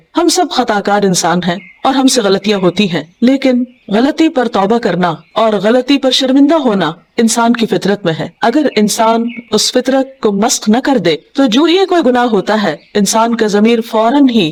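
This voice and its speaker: A woman with an unremarkable speaking voice uses lively intonation at a fairly high pitch. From Pakistan. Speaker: Islamic scholar and preacher. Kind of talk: religious lecture.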